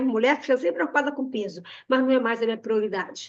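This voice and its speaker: The woman's voice sits at a high pitch. Her pitch varies in an ordinary way. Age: 60s. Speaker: nutritionist. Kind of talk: webinar presentation with sales pitch.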